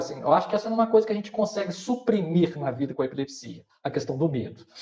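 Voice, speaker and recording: Very wide pitch swings run through this man's high-pitched voice. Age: 50s. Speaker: person with epilepsy, patient advocate. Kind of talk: live panel discussion. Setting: online live stream. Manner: hesitant, many fillers.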